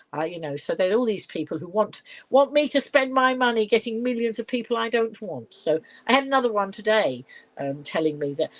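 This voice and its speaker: A woman's fairly high voice in a southern English accent, with very wide pitch swings at a fairly quick pace. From southern England, Middlesex/London area. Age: 70s. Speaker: live-stream host. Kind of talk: casual live-stream chat. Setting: at home. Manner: chatty, rambling with fillers.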